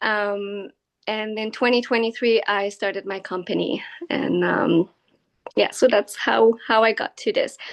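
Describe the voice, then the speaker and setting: A woman speaks at a fairly slow pace with a fairly high pitch and a French Canadian accent. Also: fairly even intonation. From Quebec, downtown Montreal. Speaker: equine-assisted learning facilitator. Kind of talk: interview. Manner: hesitant, many fillers.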